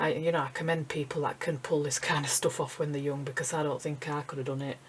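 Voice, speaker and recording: A woman with a Yorkshire accent and a very deep, low pitch. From Yorkshire, England. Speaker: acrylic painter, art tutor. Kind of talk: casual talk while painting, tutorial. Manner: slightly awkward, hesitant.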